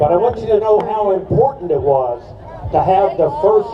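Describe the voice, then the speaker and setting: A man speaks at a moderate pace. The recording has audible room echo and noticeable background noise. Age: 70s. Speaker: attorney and activist. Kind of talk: rally speech.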